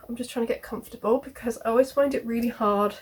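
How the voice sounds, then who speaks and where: Fairly high-pitched and with a British accent, a woman speaks with fairly even intonation. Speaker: knitting and sewing vlogger. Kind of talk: casual chat to camera.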